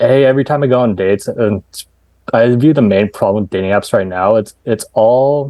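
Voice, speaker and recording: This man has an unremarkable speaking voice, medium-pitched with ordinary pitch variation, talking at a fairly quick pace with very even loudness. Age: 30s. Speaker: dating app founder. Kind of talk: podcast interview. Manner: casual, conversational.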